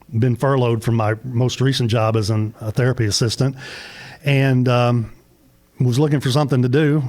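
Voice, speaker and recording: Speaking at a fairly quick pace, a man has a Southern US accent. His medium-pitched voice stays monotone and flat. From US South, Middle Tennessee. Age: 60s. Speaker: small business owner. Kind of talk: interview. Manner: halting.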